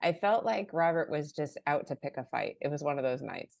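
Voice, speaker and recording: A normal speaking voice from a woman with an American accent, lively in intonation, over a quiet background. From US Midwest, Chicago area. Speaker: author and church marketing director. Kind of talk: interview.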